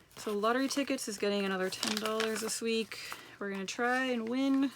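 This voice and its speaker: Over noticeable background noise, a woman with a fairly high voice talks at a fairly quick pace with fairly even intonation. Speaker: personal finance vlogger. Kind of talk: casual vlog tutorial. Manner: fast.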